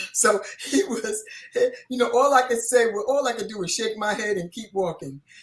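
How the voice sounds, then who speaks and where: Against noticeable background noise, a woman with a fairly high pitch talks at a moderate pace, her intonation lively and her loudness swinging widely. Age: 70s. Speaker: panelist on a faith talk show. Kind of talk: panel discussion.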